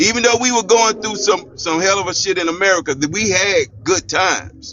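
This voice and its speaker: A man talks with a high pitch and ordinary pitch variation while noticeable background noise fills the recording. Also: fairly quick pace. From United States. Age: 60s. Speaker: panel debate guest. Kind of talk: heated debate.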